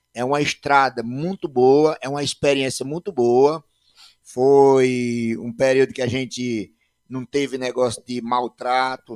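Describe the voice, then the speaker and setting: A man talks fairly slowly, and the sound is dry and close with no echo. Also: medium pitch for a man, fairly even intonation. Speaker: podcast host and former band musician. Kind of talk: casual chat.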